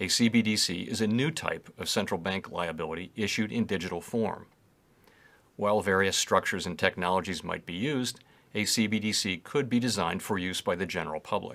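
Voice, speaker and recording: In a very clean recording with a silent background, a man with an American accent uses a normal speaking voice at a fairly low pitch, with ordinary pitch variation and a fairly quick pace. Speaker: central bank chair giving congressional testimony. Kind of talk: formal prepared testimony.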